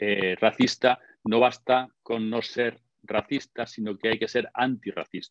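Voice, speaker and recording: A man's fairly slow, monotone, flat speech at a medium pitch, with a dry, close sound and no echo. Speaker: lecturer on gender and masculinity. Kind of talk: online conference talk. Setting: online webinar.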